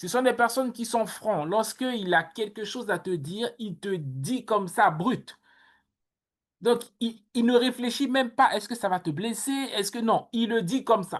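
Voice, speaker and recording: Against a quiet background, a woman talks at a fairly slow pace with a fairly high pitch and lively intonation. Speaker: workshop coach. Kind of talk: online workshop talk. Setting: video call. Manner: loud.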